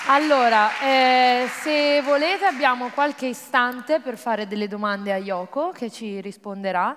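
Here a woman talks in an unremarkable speaking voice. Her intonation is lively and her pace moderate. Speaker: event host presenter. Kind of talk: event hosting, Q&A. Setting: stage with audience. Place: stage. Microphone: handheld.

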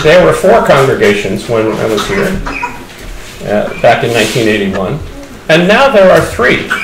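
A man with an American accent at a very slow pace, over noticeable background noise. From United States. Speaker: pastor. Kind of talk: church conference talk. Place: hall. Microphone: podium.

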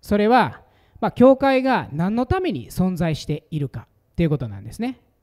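A man with a Kansai accent, his pitch swinging very widely, over a quiet background. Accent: Kansai Japanese. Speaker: pastor giving conference talk. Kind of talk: sermon or teaching talk. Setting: stage with audience. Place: meeting room. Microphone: handheld.

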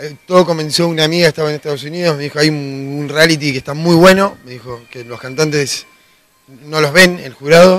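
At a fairly quick pace, a man speaks in a gruff, raspy voice that is fairly high in pitch and fairly bright in tone, with fairly even intonation.

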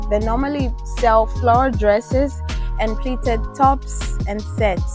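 A woman at a fairly slow pace, dry with no echo, with clear music in the background. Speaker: sourcing vlogger. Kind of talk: casual vlog chat. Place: shop. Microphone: lapel.

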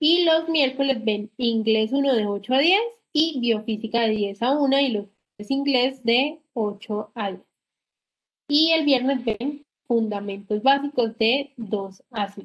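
At a very slow pace, a woman talks in a high pitch with ordinary pitch variation against a quiet background. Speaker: physiotherapy program coordinator. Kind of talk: orientation talk. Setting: video call. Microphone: video call.

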